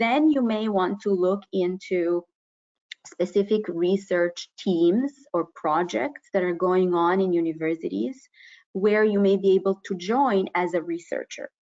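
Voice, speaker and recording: In an unremarkable speaking voice, a woman speaks fairly slowly. Her pitch is medium, with ordinary variation. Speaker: university professor and researcher. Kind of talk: webinar presentation. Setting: online webinar.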